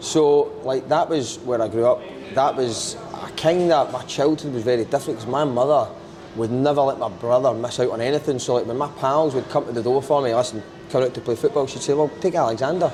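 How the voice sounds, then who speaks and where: A man speaks at a fairly quick pace in a medium pitch, with ordinary pitch variation and noticeable background noise. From Scotland, Glasgow. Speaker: TV presenter and comedian. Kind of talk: casual chat. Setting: podcast interview.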